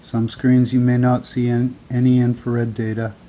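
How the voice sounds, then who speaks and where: A soft-spoken man at medium pitch, dark, mellow tone and monotone, flat intonation. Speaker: amateur wildfire map commentator. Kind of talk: screen-share commentary. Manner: slow.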